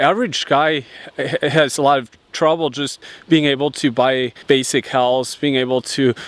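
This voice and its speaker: A man with a fairly high pitch and fairly even intonation speaks at a moderate pace. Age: 20s. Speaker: lifestyle YouTuber. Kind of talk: vlog monologue. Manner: halting, many repetitions and fillers.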